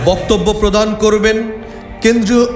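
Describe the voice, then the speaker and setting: Music plays in the background while a man speaks. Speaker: loudspeaker announcer. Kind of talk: public event announcement (miking recording). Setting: PA system. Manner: formal, loud, emphatic.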